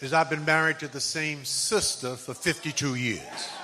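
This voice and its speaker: A man talks at a fairly slow pace with fairly even intonation. His pitch is fairly high, and crowd noise carries in the background. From US Northeast (Bed-Stuy, Brooklyn, New York). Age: 80s. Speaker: conference speaker and author. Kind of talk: motivational speech.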